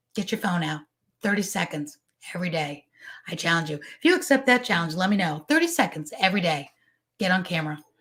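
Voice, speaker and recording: Very fast, energetic delivery from a woman with a fairly low pitch and lively intonation, broken by long, frequent pauses, on a very clean recording with a silent background. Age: 50s. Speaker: business coach and show host. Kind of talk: live stream talk with viewer comments. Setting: live stream on social media.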